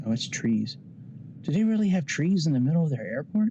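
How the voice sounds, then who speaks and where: The voice is soft-spoken. It moves at a fairly quick pace. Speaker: flight sim youtuber. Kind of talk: tutorial.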